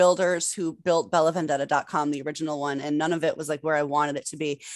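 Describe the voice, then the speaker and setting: Fairly low in pitch with ordinary pitch variation, a woman with a plain, everyday voice speaks at a fairly quick pace in a very clean recording with a silent background. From Massachusetts. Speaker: adult performer and director. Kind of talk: casual interview.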